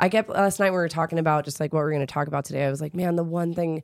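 On a very clean recording with a silent background, a woman speaks. Her voice is very deep and low. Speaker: podcast co-host and fitness coach. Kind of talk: casual chat. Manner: animated, energetic, cheering along.

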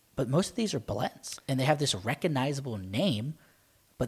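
Speaking at a fairly quick clip, a man with a medium pitch sounds somewhat breathy, and his intonation is lively. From Maryland, US. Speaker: wine podcast co-host. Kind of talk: casual chat.

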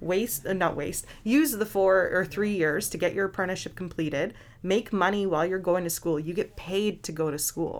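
A woman at a medium pitch, moderate pace and ordinary pitch variation, an ordinary speaking voice. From British Columbia, Canada. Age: 20s. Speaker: welder. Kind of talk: casual interview.

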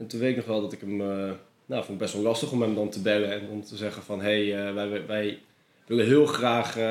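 Fairly quick, fairly low-pitched speech from a man, flat and monotone in intonation. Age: 20s. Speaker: freelance filmmaker. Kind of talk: casual interview. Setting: office in canal house.

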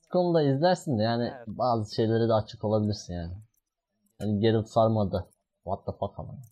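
A man talks at a fairly quick pace in a medium pitch with a dark, mellow tone. His intonation is lively, and his loudness swings widely. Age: 20s. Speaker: podcast host. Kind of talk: casual chat.

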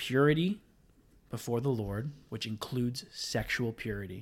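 Somewhat breathy and at a medium pitch, a man talks at a moderate pace with ordinary pitch variation, captured in a very clean recording with a silent background. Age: 20s. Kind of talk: casual chat.

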